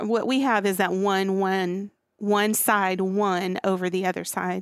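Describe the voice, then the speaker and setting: The woman speaks at a very slow pace. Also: dry, close sound with no echo. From central Arkansas. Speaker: architect. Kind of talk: casual chat.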